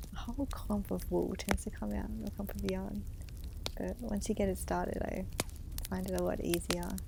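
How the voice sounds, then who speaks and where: Soft-spoken and calm, a woman with an Australian accent talks at a moderate pace in a very deep, low pitch with very wide pitch swings, over noticeable background noise. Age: 30s. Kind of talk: ASMR-style crochet voice over. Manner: calm, soft-spoken.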